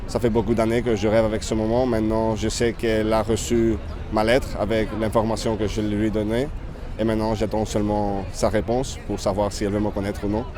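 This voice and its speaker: A man's monotone, flat delivery at a fairly low pitch and moderate pace, with audible room echo and noticeable background noise. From Spain, Catalonia (Barcelona). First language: Spanish/Catalan (speaking French). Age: 30s. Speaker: festival worker interviewed on the street. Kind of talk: street interview. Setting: outdoors in Paris near a landmark. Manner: halting.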